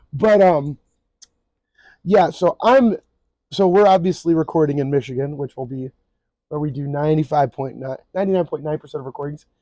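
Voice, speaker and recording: A man speaks at a fairly quick pace and fairly high pitch in a dark, mellow tone, with ordinary pitch variation, big swings in loudness and long, frequent pauses. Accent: American. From Texas, LaGrange. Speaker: podcast co-host. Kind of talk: casual chat.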